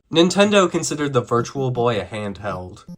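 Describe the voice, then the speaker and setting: Over music in the background, a man talks at a fairly slow pace in a medium pitch. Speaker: video game reviewer. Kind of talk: video essay narration.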